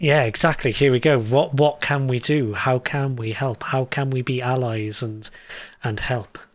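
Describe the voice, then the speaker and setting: With a British accent, a man at medium pitch talks at a moderate pace with fairly even intonation. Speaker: tech show host. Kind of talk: interview.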